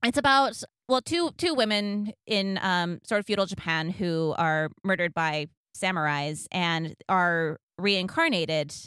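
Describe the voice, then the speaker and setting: In a very clean recording with a silent background and a dry, close sound with no echo, a woman at medium pitch speaks at a fairly slow pace with lively intonation, a bright, sharp tone and very even loudness. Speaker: podcast co-host. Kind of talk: casual chat.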